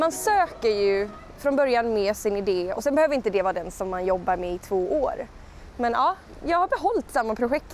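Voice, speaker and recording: There is noticeable background noise behind this woman. Her fairly high pitch swings very widely. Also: fairly quick pace. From Skåne, southern Sweden. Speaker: musical theatre performer. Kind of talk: interview answer. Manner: casual, conversational.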